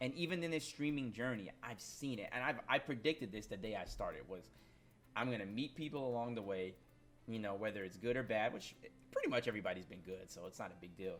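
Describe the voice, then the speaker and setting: Over music in the background, a man talks at a very fast pace in a medium pitch. His tone is animated and his intonation lively. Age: 20s. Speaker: gaming streamer and YouTuber. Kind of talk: casual vlog monologue. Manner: casual, animated.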